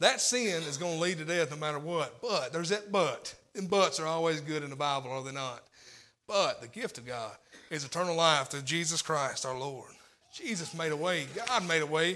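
A man with a Southern US accent, fairly high pitch and a bright, sharp tone, at a fairly quick pace with ordinary pitch variation, big swings in loudness and audible room echo. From Tennessee. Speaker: lay preacher. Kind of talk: sermon. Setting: church.

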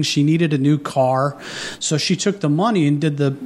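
Noticeable background noise sits behind a man with a Midwestern American accent. His voice is fairly high with ordinary pitch variation. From southwest Ohio. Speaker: author. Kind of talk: radio interview. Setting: studio.

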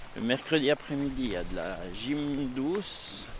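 Ordinary pitch variation in a man's speech, with noticeable background noise throughout. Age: 50s. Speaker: program participant, former drug user. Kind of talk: testimony. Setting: outdoors, walking in forest.

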